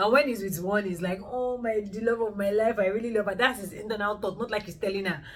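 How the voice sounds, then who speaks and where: A woman's animated, medium-pitched voice at a very fast pace with hardly any pauses, amid noticeable background noise. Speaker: booktuber and author. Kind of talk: casual book review monologue.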